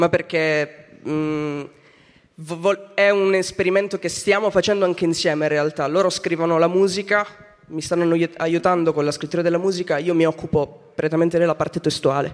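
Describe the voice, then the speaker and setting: With noticeable background noise behind him, a high-voiced man keeps a moderate pace and fairly even intonation. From Calabria. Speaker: singer-songwriter. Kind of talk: interview. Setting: theatre, live radio.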